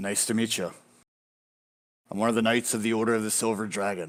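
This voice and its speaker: A man uses a raspy, put-on character voice at a medium pitch. He talks at a very fast pace. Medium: actual play. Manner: formal, proud.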